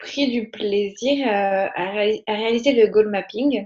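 A woman's fairly high voice moves at a very slow pace, her intonation fairly even. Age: 20s. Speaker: podcast listener. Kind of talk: interview. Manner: hesitant.

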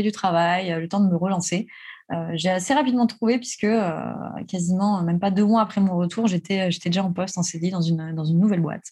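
A woman talks at a fairly quick pace in a medium-pitched, somewhat breathy voice. Her tone is dark and mellow, with ordinary pitch variation. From France, Alsace. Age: 30s. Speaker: real estate investor. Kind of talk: interview.

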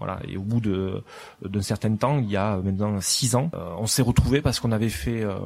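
A man at a very fast pace with a Toulouse accent, over noticeable background noise. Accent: southern French, Toulouse. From southwest France, Lourdes and Toulouse. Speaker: restaurant owner. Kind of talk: interview.

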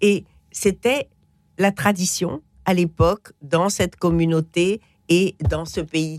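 A woman's fairly low voice with ordinary pitch variation, a very slow pace and long, frequent pauses, in a dry, close sound with no echo. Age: 70s. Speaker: essayist and cookbook author. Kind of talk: radio interview.

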